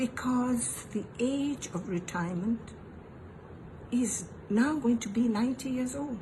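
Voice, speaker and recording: A woman's high voice at a fairly slow pace, with long, frequent pauses and ordinary pitch variation, amid noticeable background noise. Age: 80s+. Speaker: elderly voter. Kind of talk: political appeal.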